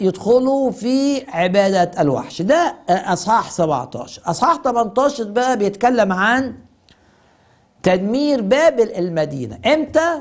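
At an extremely high pitch, a man speaks at a very slow pace with lively intonation and very even loudness against a quiet background. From Egypt. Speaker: pastor. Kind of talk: televised Bible teaching. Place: studio. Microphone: lapel.

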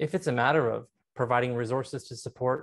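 The background stays quiet as a man speaks. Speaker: council candidate. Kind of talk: interview answer. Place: home room. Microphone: earbuds.

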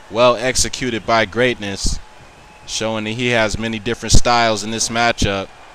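A man with medium pitch speaks at a moderate pace in a monotone, flat intonation. Noticeable background noise runs underneath. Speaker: wrestling commentator. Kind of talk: live wrestling commentary. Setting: video game match recording, voiceover.

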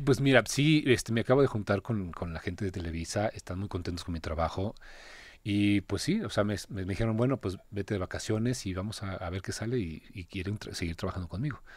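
An unremarkable speaking voice moves at a fairly quick pace with ordinary pitch variation, on a very clean recording with a silent background. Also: man, fairly low pitch for a man. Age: 30s. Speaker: actor. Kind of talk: interview.

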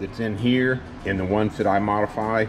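A man with a fairly low pitch speaks at a moderate pace while faint music plays in the background. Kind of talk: tutorial. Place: workshop.

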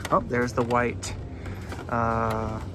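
Loud background noise surrounds a man speaking at a very slow pace, the sound dry with no echo. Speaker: toy car collector vlogger. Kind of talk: casual vlog chat. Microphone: phone near.

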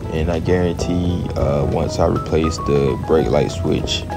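With clear music playing in the background, a man talks with ordinary pitch variation. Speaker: car owner vlogger. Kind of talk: casual vlog chat. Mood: calm, relaxed. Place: rain. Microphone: phone near.

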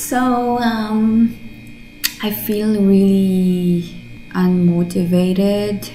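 Music plays in the background as a woman speaks with ordinary pitch variation. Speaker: vlogger. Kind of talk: casual vlog chat. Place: home room. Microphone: camera far.

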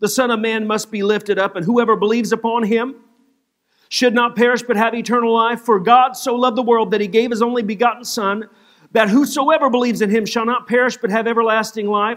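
A man rattles along at a very fast pace in a monotone, flat intonation. The background is quiet. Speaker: pastor. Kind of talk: sermon, reading scripture aloud. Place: church.

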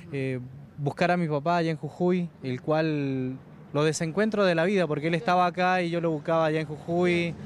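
At a moderate pace, a man with a fairly high pitch uses fairly even intonation in a dry recording with no echo and light background noise. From Argentina, Mendoza (San Carlos); Mendoza, Argentina. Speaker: radio worker reunited with his father. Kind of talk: TV interview. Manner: halting, many fillers. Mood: emotional, grateful. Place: street. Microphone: handheld.

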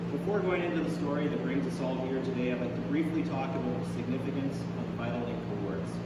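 Over loud background noise and with audible room echo, a man talks at a very fast pace. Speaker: paramedic spokesperson. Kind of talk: prepared press statement. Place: hall. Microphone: podium.

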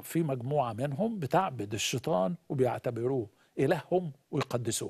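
Against a quiet background, a man with a fairly high, somewhat breathy voice swings his pitch very widely. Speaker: pastor. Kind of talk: religious teaching in a live interview. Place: studio.

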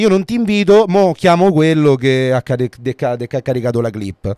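The sound is dry and close, with no echo, as a man speaks at a fairly quick pace with hardly any pauses. His tone is dark and mellow, and his pitch swings very widely. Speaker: podcast co-host. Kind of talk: casual chat. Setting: livestream.

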